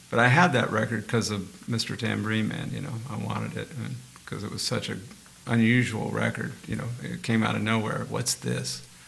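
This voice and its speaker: Audible room echo and noticeable background noise come with a man who talks fairly quickly. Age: 70s. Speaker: session guitarist. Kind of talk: casual interview chat. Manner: animated.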